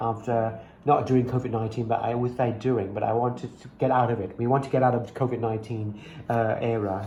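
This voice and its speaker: A man talking at a medium pitch is heard with audible room echo. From Thailand. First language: Thai. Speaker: English teacher. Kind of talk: casual tutoring chat. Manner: halting, many fillers and repeats.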